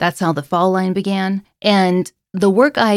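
Here a woman talks with an American accent. She keeps a moderate pace. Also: very clean recording, silent background. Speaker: author and podcaster. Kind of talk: interview, casual chat.

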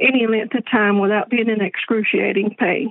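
This woman has an unremarkable speaking voice, pitched fairly high, with fairly even intonation. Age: 40s. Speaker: caller. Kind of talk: reading a written question aloud.

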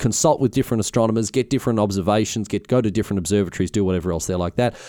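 Recorded very cleanly against a silent background, a man with an Australian accent speaks in a dark, mellow tone. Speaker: history podcast host. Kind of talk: casual solo history narration. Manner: halting, frequent fillers; hurried.

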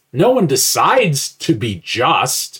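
Vocal fry marks this man's fairly high-pitched voice. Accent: American. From US Midwest (Indiana). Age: 60s. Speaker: retired philosophy professor. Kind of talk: interview conversation.

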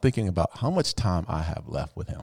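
An ordinary speaking voice with lively intonation at a fairly quick pace, in a very clean recording with a silent background. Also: man. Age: 50s. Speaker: podcast guest, successful entrepreneur. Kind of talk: casual chat.

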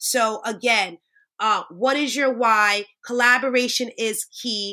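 A woman with an American accent speaks at a high pitch in a bright, sharp tone, captured in a very clean recording with a silent background. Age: 30s. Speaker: nurse and entrepreneur. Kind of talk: interview. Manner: animated.

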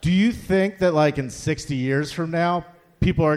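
This man has a plain, everyday voice with a fairly high pitch. His pace is moderate, and his pitch varies in an ordinary way. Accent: American. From Philadelphia. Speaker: amateur stand-up comedian. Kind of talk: stand-up. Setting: stage with audience.

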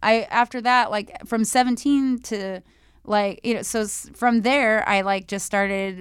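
At a fairly slow pace, a woman with fairly even intonation and an ordinary speaking voice is heard in a very clean recording with a silent background. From moved around, born in Vancouver, Washington. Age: 40s. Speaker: exotic dancer and model. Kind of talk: casual chat.

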